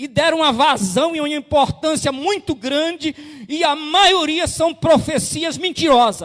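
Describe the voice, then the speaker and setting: Extremely high-pitched for a man, this speaker talks at a fairly slow pace with ordinary pitch variation. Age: 60s. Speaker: pastor. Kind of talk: sermon.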